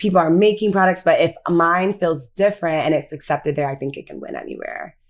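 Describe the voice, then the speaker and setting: With an American accent, a woman of medium pitch talks at a fairly quick pace, ordinary pitch variation and big swings in loudness over noticeable background noise. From US (Ghanaian American, first generation). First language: Twi. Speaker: beauty brand founder. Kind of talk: interview. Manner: casual, filler-heavy.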